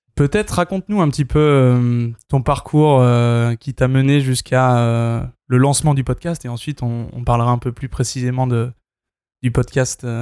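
Recorded with a dry, close sound and no echo, a man speaks at a fairly slow pace in a medium pitch, his dark, mellow tone carried by fairly even intonation. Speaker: podcast host. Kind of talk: casual chat. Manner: halting.

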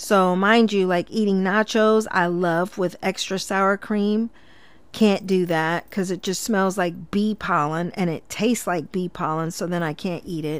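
On a very clean recording with a silent background, a woman with an unremarkable speaking voice and medium pitch talks at a fairly slow pace with fairly even intonation. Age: 40s. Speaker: podcast host and cosmetology instructor. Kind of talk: casual solo monologue. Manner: conversational with frequent filler words.

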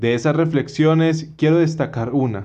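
At a fairly slow pace, a man speaks in an ordinary speaking voice with fairly even intonation. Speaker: podcast host. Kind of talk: interview; scripted narration.

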